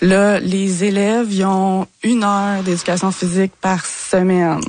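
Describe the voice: A woman speaks at a medium pitch with little pitch movement. Her pace is fairly slow and her tone slightly mellow.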